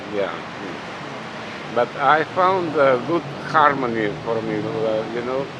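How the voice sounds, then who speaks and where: A man with a Russian accent at a medium pitch, very slow with long, frequent pauses and ordinary pitch variation, amid audible room echo and noticeable background noise. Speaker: pianist and competition juror. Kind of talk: interview. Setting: outdoors by a busy road. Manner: halting.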